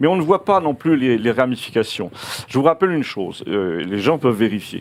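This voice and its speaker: A man's medium-pitched voice at a fairly quick pace, with very wide pitch swings. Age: 70s. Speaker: novelist and commentator. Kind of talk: interview. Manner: hesitant, many fillers and restarts.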